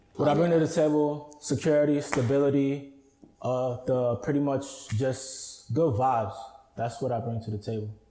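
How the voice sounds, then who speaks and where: Against noticeable background noise, a man talks at a moderate pace. His fairly high voice keeps a fairly even intonation. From Queens, New York. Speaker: hip hop artist. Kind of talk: casual interview chat. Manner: laid back.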